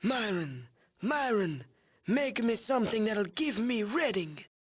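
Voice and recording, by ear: A man's put-on character voice, high-pitched, wheezy and breathy, at a fairly slow pace.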